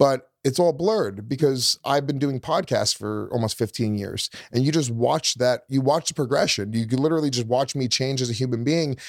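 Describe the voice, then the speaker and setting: In a very clean recording with a silent background, a man with an ordinary speaking voice talks at a moderate pace, at medium pitch with ordinary pitch variation. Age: 40s. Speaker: comedian. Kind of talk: casual chat.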